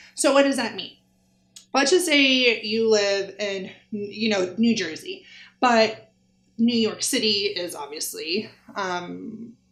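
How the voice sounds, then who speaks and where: With audible room echo, a woman speaks at a very slow pace and a fairly high pitch, her intonation lively. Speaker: travel influencer coach. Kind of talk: tutorial. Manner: animated.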